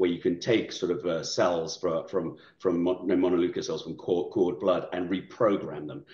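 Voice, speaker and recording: A man at a fairly quick pace, with a quiet background and audible room echo. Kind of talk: interview answer. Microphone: video call.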